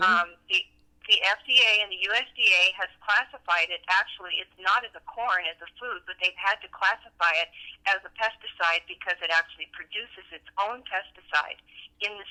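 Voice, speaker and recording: In a normal speaking voice, a woman at medium pitch talks at a moderate pace with fairly even intonation and big swings in loudness. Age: 60s. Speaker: bodybuilder, nutritionist and trainer. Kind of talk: interview answer.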